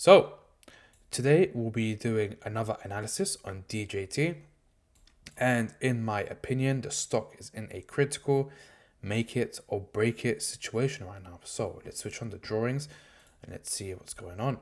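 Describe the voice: Speaking at a moderate pace, a man uses a fairly low pitch with ordinary pitch variation and a slightly mellow tone.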